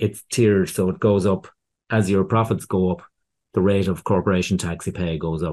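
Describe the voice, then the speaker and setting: A man with a very deep, low pitch and a dark, mellow tone speaks at a moderate pace with fairly even intonation. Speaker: accountant. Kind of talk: casual interview chat.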